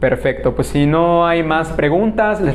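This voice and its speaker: A man with a fairly high pitch speaks in a Yucatán accent, with audible room echo and noticeable background noise. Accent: southern Mexican (Yucatán). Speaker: spiritual lecturer. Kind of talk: lecture Q&A; closing announcements. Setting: conference hall with live audience and online stream.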